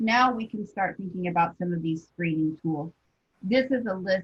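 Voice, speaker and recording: Her voice is somewhat breathy and medium in pitch. The woman talks at a moderate pace, varying her pitch in an ordinary way. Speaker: school psychologist presenter. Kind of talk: professional webinar presentation.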